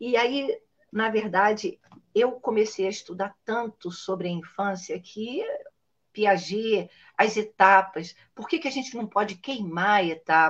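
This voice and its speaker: Speaking at a fairly slow pace, a woman with a fairly high pitch and ordinary pitch variation has an unremarkable speaking voice. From Niterói, Brazil. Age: 60s. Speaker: children's author and storyteller. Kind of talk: casual interview chat.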